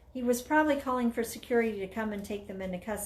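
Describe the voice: The speech is plain reading aloud.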